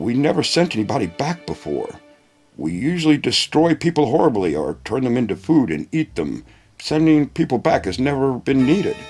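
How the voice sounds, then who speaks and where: A man's put-on character voice at medium pitch and moderate pace, with faint music in the background. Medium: read story. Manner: booming, imperious.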